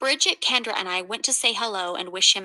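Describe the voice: The text is given a plain reading aloud, with the pitch shifting in an ordinary way.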